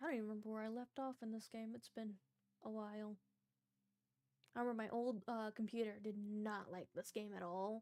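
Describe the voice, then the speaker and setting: A soft-spoken woman with a fairly high pitch and a dark, mellow tone talks at a fairly quick pace with long, frequent pauses. Her intonation is monotone and flat, and the sound is dry and close with no echo. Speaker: vtuber streamer. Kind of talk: casual gaming livestream.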